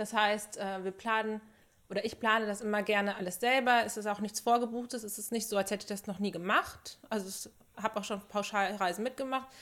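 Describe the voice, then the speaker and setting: A woman at a fairly high pitch, flat and monotone, at a fairly quick pace. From Germany, Sauerland. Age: 30s. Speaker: podcast co-host, film producer. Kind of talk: casual chat. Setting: studio, seated together.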